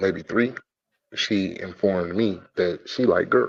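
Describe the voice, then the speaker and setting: This is a man speaking. His pace is fairly slow. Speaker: podcast panelist, father. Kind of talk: casual chat. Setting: at work.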